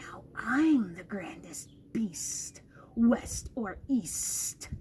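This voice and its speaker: Whispering in a put-on character voice, a woman speaks. She goes at a very slow pace. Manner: whispering, boastful.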